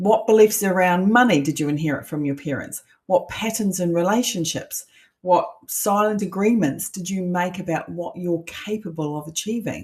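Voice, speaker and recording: Somewhat breathy, a woman speaks at a moderate pace. Her pitch is medium with ordinary variation. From New Zealand. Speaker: coach. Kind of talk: online masterclass. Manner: conversational.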